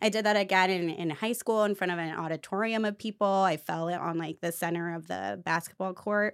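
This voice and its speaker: On a very clean recording with a silent background, a woman with a medium pitch and an animated tone speaks at a fairly quick pace with hardly any pauses. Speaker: co-host of a podcast. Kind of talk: casual chat between friends. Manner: animated, laughs often.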